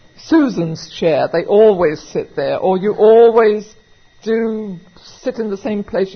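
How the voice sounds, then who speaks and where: A woman with an American accent talks at a fairly slow pace in a plain, everyday voice. Her pitch sits in the medium range, and her intonation is lively. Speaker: recovery meeting speaker; auctioneer. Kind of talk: recovery meeting talk, conversational and humorous.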